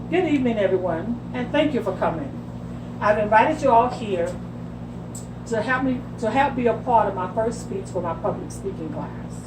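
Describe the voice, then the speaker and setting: A woman talks at a moderate pace, with audible room echo and noticeable background noise behind her. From New York City (Brooklyn), with North Carolina roots. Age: 60s. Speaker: retired office worker and college student. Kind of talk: class speech.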